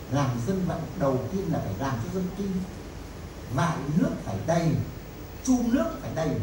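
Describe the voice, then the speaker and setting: The voice swings very widely in pitch at a fairly slow pace. Audible room echo and noticeable background noise surround it. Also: man. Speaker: professor and researcher. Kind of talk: lecture storytelling to audience. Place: hall.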